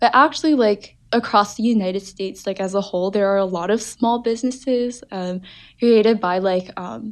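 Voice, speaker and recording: A woman's unremarkable speaking voice at medium pitch, moderate pace and ordinary pitch variation, against a quiet background. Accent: American. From New Jersey, US. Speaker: undergraduate student. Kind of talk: casual interview.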